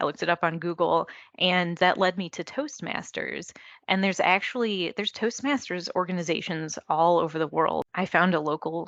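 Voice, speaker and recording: A soft-spoken woman at a fairly low pitch and moderate pace, with ordinary pitch variation, a dry, close sound with no echo, and a quiet background. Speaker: electrical engineer, market development manager. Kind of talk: interview. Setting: video call.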